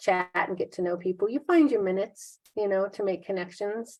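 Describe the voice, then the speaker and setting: Medium in pitch, a woman talks at a fairly quick pace. It is a normal speaking voice. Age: 60s. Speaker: fitness client. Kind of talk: interview.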